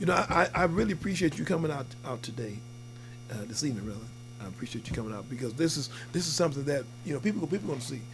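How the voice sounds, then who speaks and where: Very fast speech with lively intonation is broken by long, frequent pauses, with noticeable background noise. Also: man, medium pitch for a man. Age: 60s. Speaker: talk show host. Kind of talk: casual interview.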